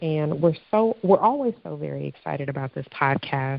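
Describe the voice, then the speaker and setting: A woman speaks at a very deep, low pitch with lively intonation. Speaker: podcast host. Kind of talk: casual chat. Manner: animated.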